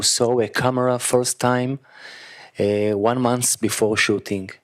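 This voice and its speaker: In a very clean recording with a silent background, a man at medium pitch speaks at a fairly slow pace in a flat monotone. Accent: Israeli. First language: Hebrew. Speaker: actor. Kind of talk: post-screening Q&A. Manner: halting.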